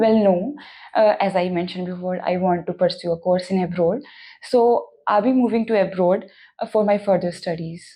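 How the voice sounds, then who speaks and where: A woman's dark, mellow voice with an Indian accent, fairly even intonation and a quiet background. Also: medium pitch for a woman, moderate pace. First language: Hindi. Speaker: language test candidate. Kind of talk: mock speaking exam interview. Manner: hesitant with fillers.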